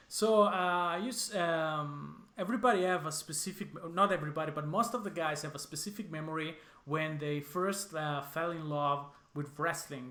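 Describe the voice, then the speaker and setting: An Italian accent with a bright, sharp tone, a moderate pace and ordinary pitch variation. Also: man, fairly high pitch for a man. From Switzerland, Lugano. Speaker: podcast host. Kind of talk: interview.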